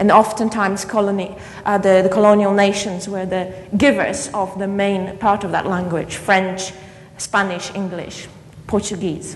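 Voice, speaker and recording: In a Polish accent, a woman speaks at a moderate pace with a medium pitch and monotone, flat intonation. Noticeable background noise and audible room echo are present. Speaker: keynote speaker, education academic. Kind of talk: conference keynote lecture. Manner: halting, with repetitions.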